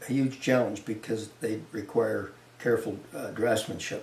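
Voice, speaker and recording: With a Canadian accent, a man of medium pitch speaks at a moderate pace, with audible room echo and noticeable background noise. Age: 70s. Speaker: wildlife artist. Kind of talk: interview. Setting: artist's studio. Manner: halting, with many repetitions.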